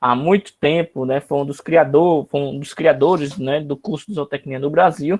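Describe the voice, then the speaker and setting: A man with a plain, everyday voice speaks at a moderate pace, his pitch fairly high and its variation ordinary. The background is quiet and the sound is dry and close, with no echo. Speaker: university lecturer. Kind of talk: online lecture.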